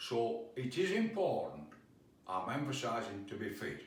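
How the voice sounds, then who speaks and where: The pitch moves in very wide swings. The pace is fairly slow. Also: man. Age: 80s+. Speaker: fitness instructor. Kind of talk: home workout instruction to camera.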